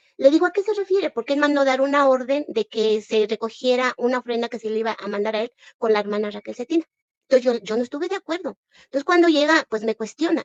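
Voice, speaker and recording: Speaking very fast in a Mexican accent, a woman uses a high pitch and lively intonation, with a dry, close sound and no echo. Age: 60s. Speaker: former church member denouncing abuse. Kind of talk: testimony. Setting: livestream. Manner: animated.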